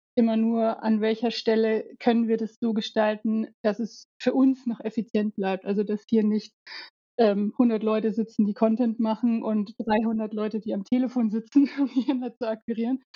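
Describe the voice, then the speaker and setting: Somewhat breathy woman's voice, fairly high in pitch, with monotone, flat intonation. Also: moderate pace. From Alpine region. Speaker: head of marketing. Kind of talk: casual interview.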